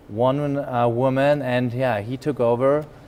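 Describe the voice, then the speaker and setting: A man speaks in a German accent at a medium pitch. His pace is moderate. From Germany. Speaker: business executive. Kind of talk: interview. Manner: halting.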